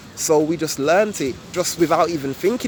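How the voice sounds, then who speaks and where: Amid noticeable background noise, a man with a Birmingham accent talks at a fairly quick pace with lively intonation. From England, Birmingham. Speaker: YouTuber. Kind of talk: casual vlog explanation. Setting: outdoors. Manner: casual, relaxed.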